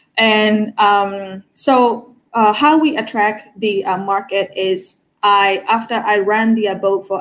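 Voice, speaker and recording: A woman with a Burmese accent at a medium pitch. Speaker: cruise tour operator. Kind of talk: online panel interview. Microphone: earbuds.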